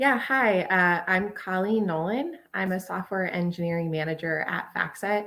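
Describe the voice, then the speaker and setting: A woman with an American accent in an ordinary speaking voice, medium in pitch with ordinary variation, at a moderate pace with hardly any pauses. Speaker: software engineering manager, panelist. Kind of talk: panel discussion.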